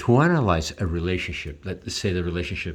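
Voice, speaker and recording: A somewhat breathy male voice. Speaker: artist and video creator. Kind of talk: drawing tutorial with commentary. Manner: halting, many repetitions.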